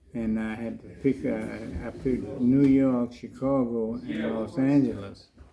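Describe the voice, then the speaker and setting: With noticeable background noise, a man talks at a fairly slow pace, his medium pitch following fairly even intonation. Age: 80s+. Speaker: retired drummer telling his life story. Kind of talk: interview. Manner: halting.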